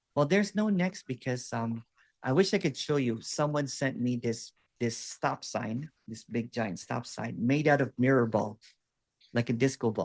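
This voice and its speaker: With a Filipino accent, a man of medium pitch talks at a moderate pace with lively intonation, and the sound is dry and close with no echo. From Philippines. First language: Waray. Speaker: non-duality teacher. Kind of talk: one-on-one spiritual session.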